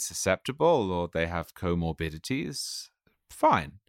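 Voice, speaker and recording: A man with an English accent speaks at a fairly quick pace with lively intonation and a very deep, low pitch. The sound is dry and close with no echo. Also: very clean recording, silent background. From England. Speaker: political writer and editor. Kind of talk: interview conversation.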